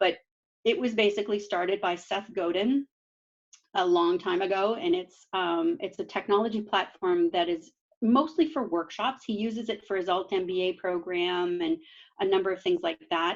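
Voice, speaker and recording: A woman with a plain, everyday voice at medium pitch, moderate pace and ordinary pitch variation, over a quiet background. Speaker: meetup presenter on remote work. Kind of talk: presentation.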